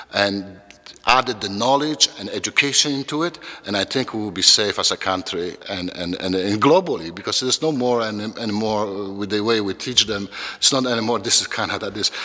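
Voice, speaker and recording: A man's fairly low voice with a non-native accent, a fairly quick pace and noticeable background noise. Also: ordinary pitch variation. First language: not English. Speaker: educator, children's program founder. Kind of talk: interview monologue. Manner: halting, many repetitions.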